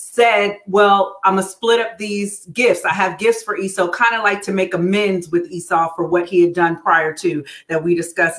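A woman's voice at a moderate pace with fairly even intonation and hardly any pauses, over a quiet background. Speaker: church minister. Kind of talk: Bible study teaching. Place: home room.

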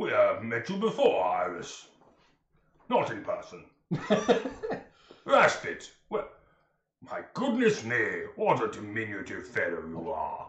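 In a put-on character voice with a slight echo, a man speaks fairly slowly with long, frequent pauses. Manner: grandiloquent, courteous, formal diction.

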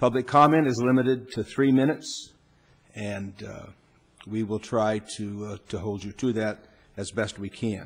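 At a moderate pace, a man speaks with fairly low pitch, ordinary pitch variation and big swings in loudness. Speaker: presiding council official. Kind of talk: formal meeting procedure announcement. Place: hall.

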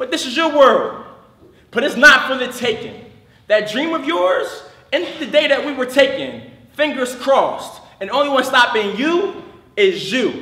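A man speaks in a raised, projected voice at an extremely high pitch, with ordinary pitch variation. His pace is moderate, and room echo is audible. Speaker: slam poet. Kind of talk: slam poetry performance. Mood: passionate, protesting. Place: stage.

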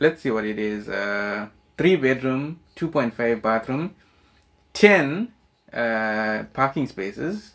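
A man at a very slow pace, the background quiet. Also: lively intonation. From South Africa, Durban. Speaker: YouTuber. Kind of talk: reaction video casual chat. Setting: home recording with relative. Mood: relaxed, smiling. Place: home room.

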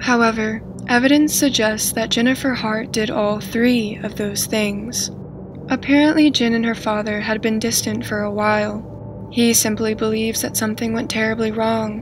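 A woman speaks at a moderate pace with monotone, flat intonation. Noticeable background noise sits behind her. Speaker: true crime narrator. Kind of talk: scripted documentary narration.

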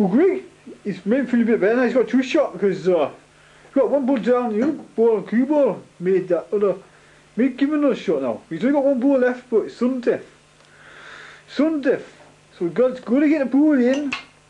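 Extremely high-pitched yet dark and mellow in tone, this man's voice carries lively intonation. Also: moderate pace. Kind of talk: casual banter and sports commentary. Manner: rambling, informal, halting.

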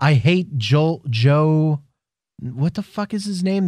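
A man speaks at a fairly slow pace, his voice somewhat breathy. The sound is dry with no echo, over a quiet background. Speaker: wrestling podcast co-host. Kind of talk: casual chat. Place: studio. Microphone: studio mic.

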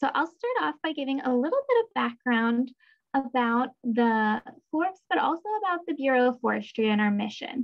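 Moderate pace over a quiet background. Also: woman, high pitch for a woman. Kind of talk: webinar presentation. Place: home room. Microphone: webcam.

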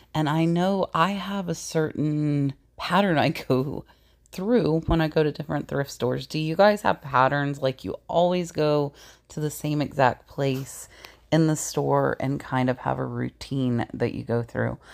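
Using vocal fry and ordinary pitch variation, a woman speaks fairly slowly at a low pitch.

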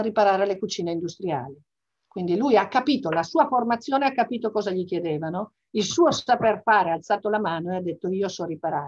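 In a quiet background, a woman talks at a very fast pace. Her medium-pitched voice has lively intonation. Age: 60s. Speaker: business executive; interviewee. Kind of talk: interview; interview answer. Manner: hesitant with fillers. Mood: reflective, emotional family memories. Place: home room. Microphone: video call.

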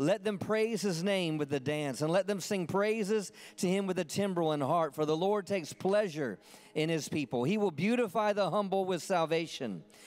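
A man with a high voice talks at a moderate pace, his pitch varying in an ordinary way and his loudness very even. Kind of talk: sermon. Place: church. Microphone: handheld.

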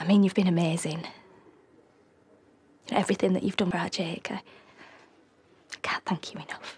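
Putting on a character voice, a woman speaks fairly low and fairly slowly, her tone slightly mellow under a husky, rough edge, with fairly even intonation.

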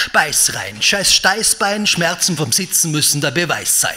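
Over music in the background, a man talks at a fairly slow pace. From Graz, Austria. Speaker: poetry slammer. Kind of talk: poetry slam performance. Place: stage. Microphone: handheld.

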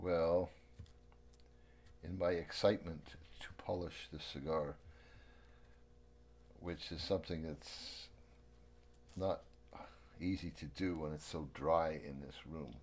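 A man speaks with a very deep, low pitch and vocal fry, his intonation fairly even. His pace is very slow, with long, frequent pauses. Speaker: amateur cigar roller. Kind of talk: casual talk while doing a task (unintentional ASMR).

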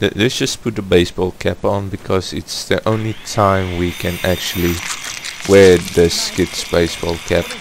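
Very deep, low-pitched man with a non-native accent, monotone, flat intonation and a moderate pace, over noticeable background noise. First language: not English. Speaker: gaming YouTuber. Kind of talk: gameplay commentary. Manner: hesitant, awkward.

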